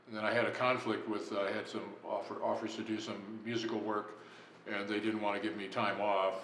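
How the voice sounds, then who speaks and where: A man with an American accent, monotone, flat intonation and audible room echo. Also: fairly low pitch for a man. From Los Angeles, California. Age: 70s. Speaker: jazz musician. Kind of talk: interview. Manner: casual, hesitant with many fillers.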